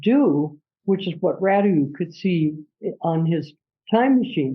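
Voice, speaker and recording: Here a woman speaks at medium pitch and a fairly slow pace. Her intonation is lively and her voice somewhat breathy. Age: 80s+. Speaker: author and astrologer. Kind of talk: interview conversation. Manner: animated.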